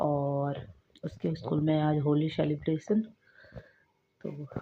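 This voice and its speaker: Very deep, low female pitch with fairly even intonation. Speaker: vlogger, mother. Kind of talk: casual vlog talk to camera.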